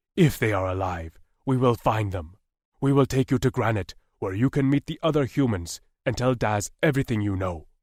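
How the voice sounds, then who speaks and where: A man puts on a character voice at a medium pitch. His pace is moderate. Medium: read story. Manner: formal, measured, solemn.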